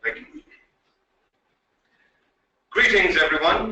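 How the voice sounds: Speaking at a slow pace, a man uses a high pitch with ordinary pitch variation and a bright, sharp tone.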